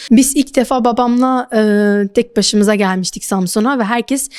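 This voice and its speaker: The recording is very clean and the background silent. Ordinary pitch variation and a moderate pace mark a normal speaking voice. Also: woman. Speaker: interpreter for her mother. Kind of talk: interview.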